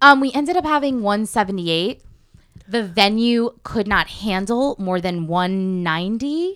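Using a plain, everyday voice, a woman with an American accent speaks at a fairly slow pace with a fairly high pitch and lively intonation. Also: very clean recording, silent background. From Connecticut. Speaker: actress and voiceover artist. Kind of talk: casual chat.

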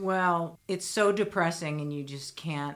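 On a very clean recording with a silent background, a woman speaks at a very slow pace with a very deep, low pitch and ordinary pitch variation. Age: 50s. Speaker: musician's sister. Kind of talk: casual chat.

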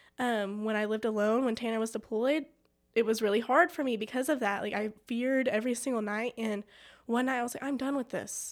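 With a West Texas accent, a woman talks at a fairly quick pace with fairly even intonation. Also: fairly high pitch for a woman, very clean recording, silent background. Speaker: church member. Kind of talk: testimony. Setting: studio.

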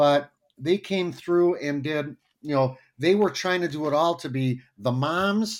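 A man with an ordinary speaking voice talks at a fairly high pitch with lively intonation in a very clean recording with a silent background. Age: 60s. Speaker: Lutheran pastor. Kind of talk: casual interview.

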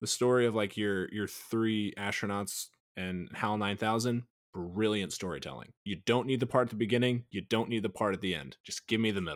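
On a very clean recording with a silent background, a man uses a normal speaking voice with an American accent, fairly low pitch and ordinary pitch variation. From Missouri (rural). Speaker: podcast guest. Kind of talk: casual chat.

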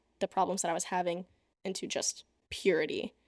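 In a very clean recording with a silent background and a dry, close sound with no echo, a woman with an ordinary speaking voice talks at medium pitch and a moderate pace. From US (Texas, moved around; Russia summers). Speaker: college student. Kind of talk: casual chat. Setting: in-person studio recording.

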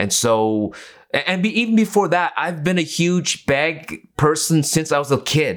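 With an ordinary speaking voice, a man talks at a fairly slow pace, his fairly high pitch carried by lively intonation, in a very clean recording with a silent background. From Canada, East Vancouver. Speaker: photographer. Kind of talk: casual chat.

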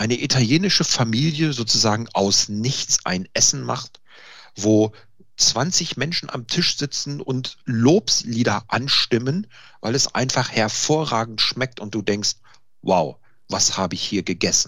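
The speaker has a normal speaking voice with lively intonation. The pace is fairly slow. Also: man. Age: 50s. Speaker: IT consultant and home cook. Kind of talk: casual interview.

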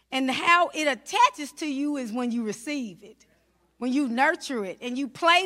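The voice is raised and projected, animated in tone and delivered at a moderate pace. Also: woman. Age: 40s. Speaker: minister. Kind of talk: sermon.

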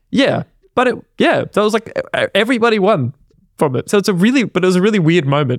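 The speaker has an Australian accent and talks very fast, with very wide pitch swings and very even loudness. Long, frequent pauses break up the speech, and the sound is dry and close with no echo. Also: man, high pitch for a man. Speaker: podcast co-host. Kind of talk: casual chat.

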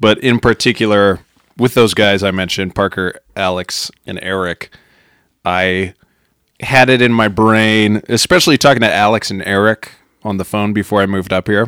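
In a normal speaking voice, a man with an American accent talks at a moderate pace and fairly low pitch, with fairly even intonation and a dry, close sound with no echo. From Wyoming, Rocky Mountain US. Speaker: cinema employee, musician. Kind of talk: casual interview chat.

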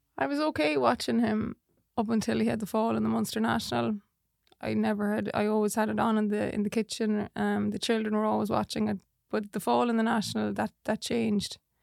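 Someone with a west of Ireland accent speaks at a fairly quick pace, with a dry, close sound and no echo. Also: woman. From Ireland, Portumna, County Galway. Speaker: jockey's wife. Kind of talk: casual chat. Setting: studio.

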